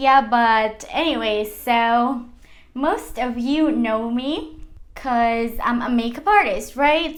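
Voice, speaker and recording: Amid audible room echo, a woman with a Mexican accent speaks at a very slow pace in a high pitch with ordinary pitch variation. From Mexico City. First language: Spanish. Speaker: makeup artist, vlogger. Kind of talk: casual vlog story time. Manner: casual, conversational.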